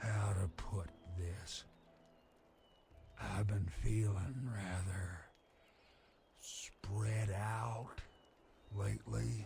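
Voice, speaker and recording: In a put-on character voice, a man with a fairly low pitch talks at a very slow pace, leaving long, frequent pauses. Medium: video game. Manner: rambling, folksy.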